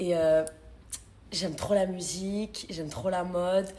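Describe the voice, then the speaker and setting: A woman talks at a medium pitch in a somewhat breathy voice. Her intonation is flat and monotone. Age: 20s. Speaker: reality TV contestant. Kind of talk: casual chat.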